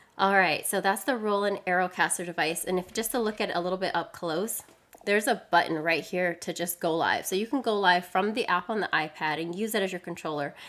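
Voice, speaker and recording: A woman at a medium pitch, fairly quick and animated, with ordinary pitch variation and hardly any pauses. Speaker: live streaming tech presenter. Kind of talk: live stream product demo. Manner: fast.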